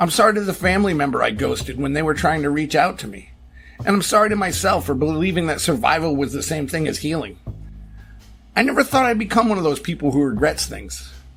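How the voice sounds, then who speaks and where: Music plays in the background as a man talks at a very fast pace. His pitch is fairly high and his intonation lively. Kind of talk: personal essay narration. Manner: quiet, reflective.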